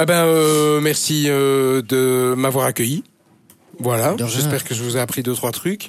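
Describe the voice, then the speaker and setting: This man talks very slowly. His pitch moves in an ordinary way. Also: medium pitch for a man. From Brussels, Belgium (Schaerbeek). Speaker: radio presenter. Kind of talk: casual interview. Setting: radio studio. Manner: hesitant, many fillers.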